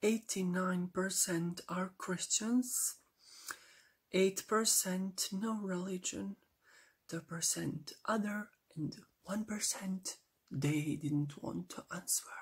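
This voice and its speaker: A soft-spoken, somewhat breathy woman at medium pitch, with ordinary pitch variation and a very slow pace. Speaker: ASMR creator. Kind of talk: ASMR geography facts talk to camera.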